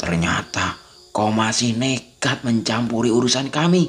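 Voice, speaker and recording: A man uses a put-on character voice at a medium pitch, moving at a fairly slow pace with lively intonation. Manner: menacing, taunting.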